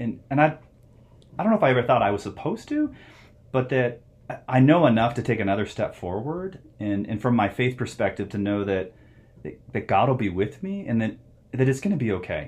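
A medium-pitched man with an American accent talks at a fairly quick pace with lively intonation, a somewhat breathy voice, and long, frequent pauses. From US Southwest, Phoenix, Arizona. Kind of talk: interview.

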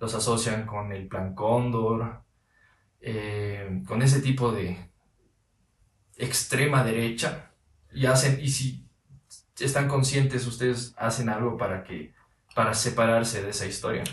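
A somewhat breathy man talks at a medium pitch with fairly even intonation, at a very slow pace with long, frequent pauses. Audible room echo surrounds his voice. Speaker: podcast host. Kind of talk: casual interview. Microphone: audio problem in this episode.

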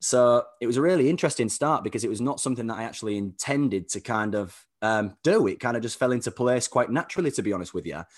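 A man with a British accent speaks at a very fast pace and medium pitch, with lively intonation and hardly any pauses. The background is quiet. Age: 30s. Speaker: performance coach. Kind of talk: casual interview chat.

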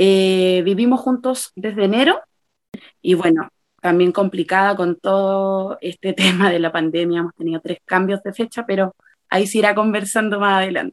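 In a normal speaking voice, a woman talks at a moderate pace and medium pitch with ordinary variation, the sound dry and close with no echo. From Chile, Santiago. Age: 30s. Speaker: bride-to-be planning her wedding. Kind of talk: casual interview chat.

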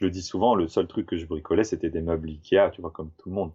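Somewhat breathy and very deep, low in pitch, a man talks at a very fast pace with fairly even intonation. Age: 30s. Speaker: tiny house builder, 3D graphic artist. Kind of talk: casual interview chat.

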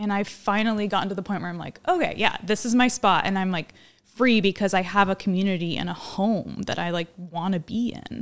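A woman with an American accent and a normal speaking voice, medium in pitch, fairly quick in pace, with fairly even intonation on a very clean recording with a silent background. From Oregon. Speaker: small urban farmer. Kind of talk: casual chat.

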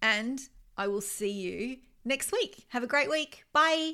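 Bright, sharp female speech with an Australian accent at a fairly slow pace, on a very clean recording with a silent background. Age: 50s. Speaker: life coach and podcast host. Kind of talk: solo self-help podcast monologue.

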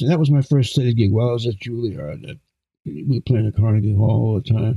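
A man with an American accent speaks very fast at a medium pitch. His voice is somewhat breathy, with lively intonation. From Brooklyn, New York (Flatbush). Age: 70s. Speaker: jazz and classical trombonist. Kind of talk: casual interview chat. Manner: animated, energetic.

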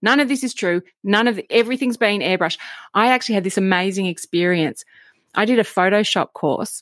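A woman's enthusiastic, fairly quick delivery at medium pitch with ordinary variation, in a very clean, dry, close recording with a silent background and no echo. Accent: Australian. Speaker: podcast host. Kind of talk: interview conversation.

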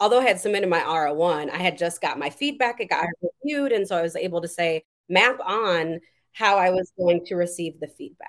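With a plain, everyday voice and an American accent, a woman speaks at a medium pitch and a fairly quick pace with lively intonation. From Madison, Wisconsin, US Midwest. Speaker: nursing professor and researcher. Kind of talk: interview.

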